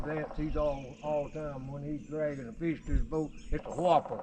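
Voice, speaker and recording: A man with a Southern US accent and a fairly high pitch speaks at a moderate pace. Noticeable background noise runs underneath. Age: 80s+. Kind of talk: casual conversation.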